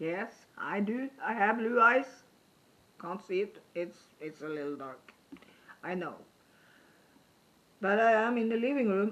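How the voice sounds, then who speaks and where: A woman with a non-native accent speaks at a fairly slow pace in a fairly high voice, her intonation lively, her loudness swinging widely, and her speech broken by long, frequent pauses. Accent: foreign accent, noticeable. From Norway. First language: Norwegian. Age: 50s. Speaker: YouTuber. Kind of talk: casual vlog talk to camera. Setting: home living room.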